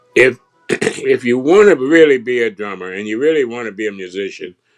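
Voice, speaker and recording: With an American accent, a man talks as music plays in the background. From US Midwest, Richmond, Indiana. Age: 80s+. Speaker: jazz drummer. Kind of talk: interview.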